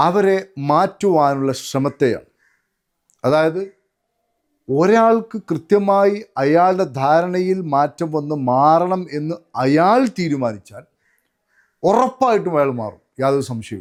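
On a very clean recording with a silent background, a man pitched high for a man speaks with lively intonation. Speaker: motivational trainer. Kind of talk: motivational talk.

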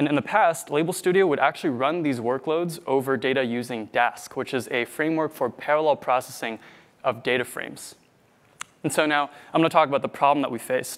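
Male speech, fairly quick, its pitch varying in an ordinary way. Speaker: conference presenter. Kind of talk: technical talk. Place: hall.

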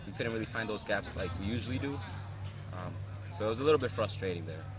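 Fairly even intonation comes through in a dry sound with no echo over noticeable background noise. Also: man. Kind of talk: interview answer. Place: stadium.

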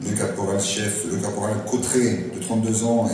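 A man speaks at a fairly low pitch. There is strong room echo and light background noise. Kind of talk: ceremonial speech. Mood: solemn, then informative. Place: stage.

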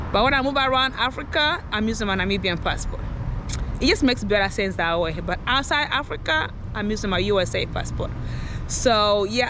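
The speech comes at a fairly quick pace with a dry sound and no echo. Noticeable background noise runs underneath. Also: woman. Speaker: vlogger. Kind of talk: casual vlog chat. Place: street. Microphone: phone near.

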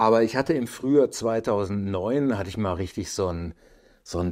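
Medium pitch from a man at a fairly slow pace, with ordinary pitch variation and a quiet background. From Lower Rhine, Germany; Germany. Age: 50s. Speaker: climbing photographer and filmmaker; podcast guest. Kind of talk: casual interview. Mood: relaxed, anecdotal. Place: home room. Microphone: lapel.

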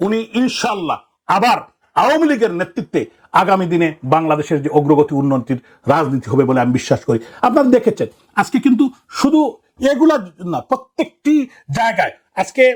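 Here a man speaks at a high pitch with very wide pitch swings. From Bangladesh, Sylhet. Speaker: politician, city mayor. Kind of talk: political statement. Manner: impassioned.

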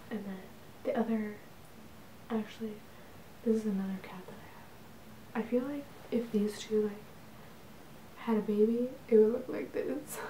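Whispering and soft-spoken over light background noise, a woman speaks with long, frequent pauses and big swings in loudness. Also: moderate pace. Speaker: ASMR creator. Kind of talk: ASMR show-and-tell. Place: home room.

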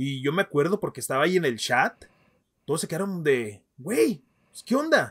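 A man at a moderate pace with lively intonation and big swings in loudness, against a quiet background. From Mexico, Ciudad Juárez, Chihuahua; Chihuahua, Mexico. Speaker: football podcast host. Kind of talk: casual chat. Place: home room. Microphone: webcam.

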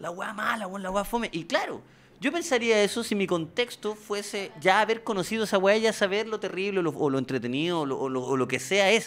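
With lively intonation, a man speaks at a high pitch. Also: fairly quick pace. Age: 30s. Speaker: comedian. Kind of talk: casual chat. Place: studio. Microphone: studio mic.

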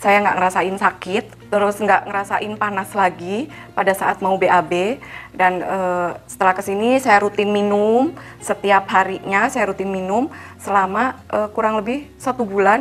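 A woman at a fairly slow pace, fairly even in intonation, with light background noise. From Indonesia, Cilacap (Central Java); Central Java, Indonesia. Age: 40s. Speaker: product testimonial giver. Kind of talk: testimony. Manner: casual, hesitant with fillers. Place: studio.

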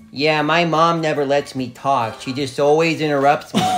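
Using a put-on character voice, a man speaks nasally at a moderate pace and a fairly high pitch over clear background noise. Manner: whiny.

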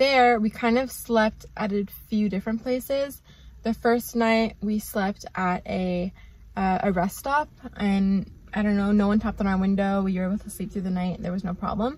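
Somewhat breathy, a woman talks at a moderate pace with fairly even intonation in a dry sound with no echo. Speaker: travel vlogger. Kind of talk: casual vlog chat. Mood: relaxed, light-hearted. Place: car. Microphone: phone near.

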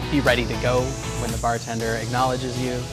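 Clear music plays behind a man's voice. He talks at a fairly quick pace. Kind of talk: interview answer. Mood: relaxed, friendly. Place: bar. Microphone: lapel.

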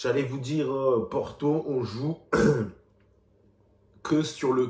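A man's slow-paced voice with a dark, mellow tone

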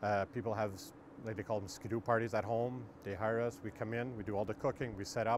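With noticeable background noise and a dry sound free of echo, a man speaks in fairly even intonation. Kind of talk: interview answer. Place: street. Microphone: lapel.

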